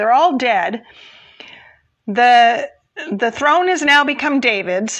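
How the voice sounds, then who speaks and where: A woman's high-pitched voice moves fairly slowly, its intonation lively. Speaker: Bible teacher. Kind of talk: Bible storytelling. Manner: casual, conversational.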